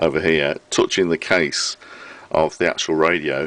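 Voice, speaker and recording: Against noticeable background noise, a man with a British accent speaks at a moderate pace, the sound dry and close with no echo. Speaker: vintage radio repairer. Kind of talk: casual talk to camera.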